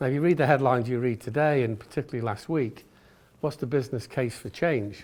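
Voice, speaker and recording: A man talks at a fairly quick pace with an English accent. The recording is very clean, with a silent background. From England. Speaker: retail executive. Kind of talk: business talk. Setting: stage with audience. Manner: fast.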